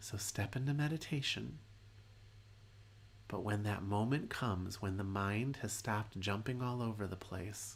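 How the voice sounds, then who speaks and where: With long, frequent pauses, a man speaks in a calm, somewhat breathy tone, his fairly low pitch showing ordinary variation. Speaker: meditation teacher. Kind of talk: guided meditation. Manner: slow.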